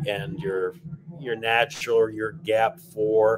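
A man talks at a medium pitch with noticeable background noise around him. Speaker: livestock auctioneer. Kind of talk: interview answer.

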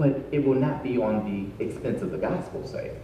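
Light background noise and audible room echo around a man's voice. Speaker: pastor. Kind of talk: sermon. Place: church.

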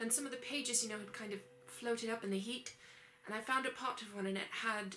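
The passage comes in an unforced reading voice.

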